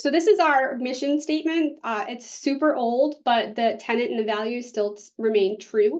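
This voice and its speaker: Her intonation lively and her pitch high, a woman speaks with a Boston accent. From US Northeast, Boston area. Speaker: public health specialist. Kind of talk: conference presentation.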